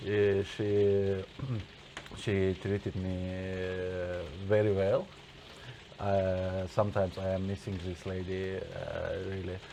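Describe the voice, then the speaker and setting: Over noticeable background noise, a man with a very deep, low pitch speaks at a very slow pace in a flat monotone, pausing long and often. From Azerbaijan and Russia. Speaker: guest. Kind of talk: casual chat. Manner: halting, many hesitations.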